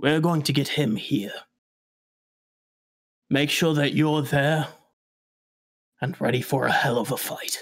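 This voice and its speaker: In a raspy, put-on character voice, a man speaks fairly slowly at a fairly high pitch with ordinary pitch variation and long, frequent pauses. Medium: actual play. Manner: brisk, authoritative.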